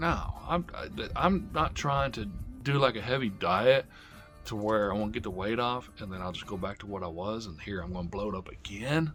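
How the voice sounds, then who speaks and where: A man speaks at a fairly low pitch in an upbeat tone, with very wide pitch swings. Music plays in the background. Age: 50s. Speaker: diet vlogger. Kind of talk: casual talk to camera. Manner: upbeat, motivational.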